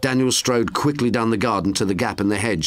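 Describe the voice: Someone does plain reading aloud here.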